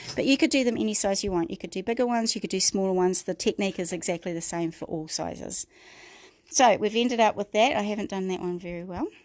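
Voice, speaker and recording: With a New Zealand accent, the speaker talks at a very fast pace with lively intonation on a very clean recording with a silent background. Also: woman, medium pitch for a woman. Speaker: craft tutor. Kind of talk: tutorial. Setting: livestream.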